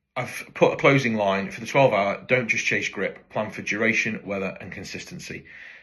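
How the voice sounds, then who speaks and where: A man with a British accent speaks at medium pitch with ordinary variation, his bright, sharp tone marked by big swings in loudness. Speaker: motorcycle tyre supplier. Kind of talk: casual talk to camera. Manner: hesitant, many fillers; rambling, informal.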